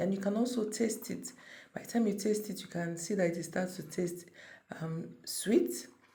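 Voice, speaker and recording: Somewhat breathy and dark, mellow in tone, a woman speaks with ordinary pitch variation amid audible room echo. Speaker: cooking channel creator. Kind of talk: cooking tutorial. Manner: casual, conversational.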